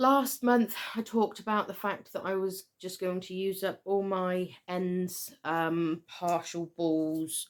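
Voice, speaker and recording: Speaking very slowly, a woman uses a West Country accent, a medium pitch and ordinary pitch variation. The recording is very clean, with a silent background. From Southwest England. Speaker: knitter and yarn dyer. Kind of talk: casual talk to camera.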